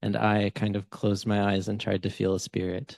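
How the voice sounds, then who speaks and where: An ordinary speaking voice, a man with an American accent at a moderate pace, dry, close sound with no echo and a quiet background. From Kentucky, US. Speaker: writer and researcher. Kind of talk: casual chat.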